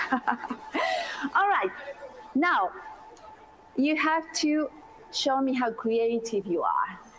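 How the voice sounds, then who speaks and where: A woman speaks very slowly at a high pitch with very wide swings, very even loudness, and long, frequent pauses, against noticeable background noise. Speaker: university language lecturer. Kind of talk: lecture.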